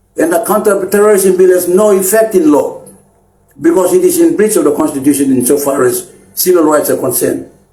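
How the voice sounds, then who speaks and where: Audible room echo surrounds a man whose high-pitched voice has lively intonation and very even loudness. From Papua New Guinea, Chimbu highlands. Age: 60s. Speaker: anti-corruption activist leader. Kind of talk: public appeal speech. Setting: Facebook live stream. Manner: halting with repeated words and fillers.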